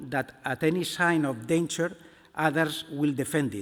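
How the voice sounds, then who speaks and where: A man with a Spanish accent speaks at a fairly high pitch and fairly slow pace. His pitch varies in an ordinary way on a very clean recording with a silent background. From Spain. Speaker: museum director. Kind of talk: conference talk read from a text.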